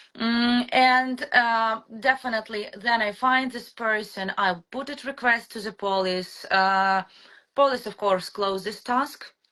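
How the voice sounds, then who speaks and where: A woman with a Ukrainian accent speaks at a fairly slow pace and a fairly high pitch, in a bright, sharp tone with fairly even intonation and big swings in loudness. The recording is very clean, with a silent background. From Ukraine. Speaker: mother telling her story. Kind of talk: testimony. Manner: halting.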